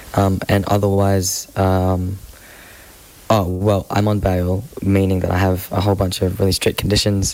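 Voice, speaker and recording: A very deep, low man's voice with an Australian accent, monotone and flat, over noticeable background noise. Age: 20s. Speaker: climate activist. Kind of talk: interview.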